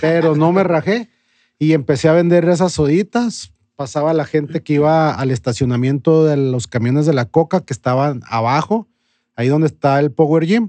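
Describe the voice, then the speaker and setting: A man with an unremarkable speaking voice talks at a moderate pace and fairly high pitch, with ordinary pitch variation and a dry, close sound with no echo. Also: quiet background. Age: 40s. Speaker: bar owner. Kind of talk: interview.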